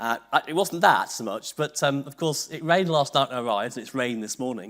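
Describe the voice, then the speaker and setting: The speech races at a very fast pace with lively intonation and big jumps in volume. The recording is very clean, with a silent background. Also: man, fairly high pitch for a man. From northern England, Liverpool. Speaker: university vice-chancellor, keynote speaker. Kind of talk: conference keynote.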